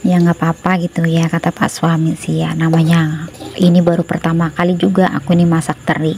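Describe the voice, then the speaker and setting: Against noticeable background noise, a woman speaks at a fairly low pitch in a monotone, flat intonation, moving at a fairly quick pace with hardly any pauses. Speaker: housewife vlogger. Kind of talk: cooking vlog voiceover. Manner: chatty, casual with fillers.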